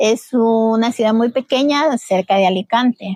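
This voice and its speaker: A woman's plain, everyday voice, fairly high in pitch, with ordinary pitch variation, a fairly slow pace and a dry, close sound with no echo. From Ecuador, Babahoyo. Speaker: community association leader, migrant. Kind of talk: interview, personal story.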